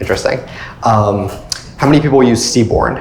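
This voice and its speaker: Noticeable background noise behind a speaker with a Long Island accent. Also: man. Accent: Long Island New York. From Long Island, New York. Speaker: political consultant and startup co-founder. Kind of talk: technical talk presentation.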